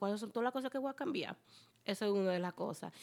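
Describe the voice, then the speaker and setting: A woman's voice at a fairly high pitch. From Latin American immigrant. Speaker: city council candidate. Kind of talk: casual chat.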